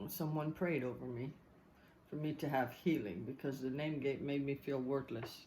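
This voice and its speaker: At a moderate pace, a woman talks with a very deep, low pitch, ordinary pitch variation and a dark, mellow tone. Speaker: interviewee. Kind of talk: family interview.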